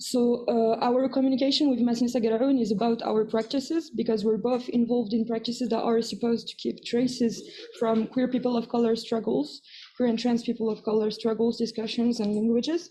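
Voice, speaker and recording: Over noticeable background noise, a woman with a non-native accent talks with fairly even intonation. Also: fairly high pitch for a woman, fairly quick pace. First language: not English. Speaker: activist archivist. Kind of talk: conference presentation.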